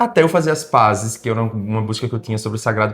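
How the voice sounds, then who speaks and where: A man speaks with a northeastern Brazilian accent. His pitch is medium, with ordinary variation. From Brazil, Pernambuco. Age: 40s. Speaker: singer-songwriter. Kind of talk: interview.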